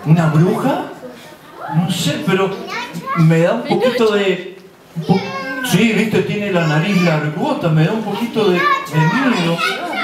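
The speaker moves at a fairly slow pace with long, frequent pauses and ordinary pitch variation, amid crowd noise and audible room echo. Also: man. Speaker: storyteller. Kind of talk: children's theatre performance. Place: stage. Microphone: camera far.

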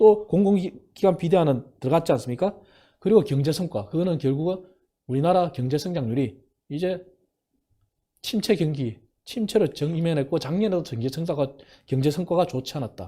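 At a moderate pace, the speaker uses lively intonation, leaves long and frequent pauses, and has a dark, mellow tone on a very clean recording with a silent background. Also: man. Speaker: former think tank head, professor. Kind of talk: political talk show interview.

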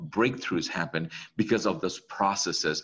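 This man's pitch rises and falls very widely. Vocal fry runs through his voice. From Bangladesh. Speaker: real estate investor. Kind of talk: interview.

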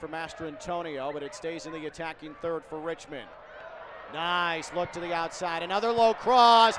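An animated tone over noticeable background noise. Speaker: live match commentator. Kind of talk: live sports commentary over match highlights. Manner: animated, exclaiming at goals.

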